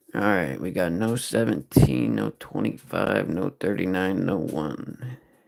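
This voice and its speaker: Very wide pitch swings and a very slow pace come through over music in the background. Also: man. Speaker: live-stream scratch ticket streamer. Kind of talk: casual live-stream commentary. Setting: live stream.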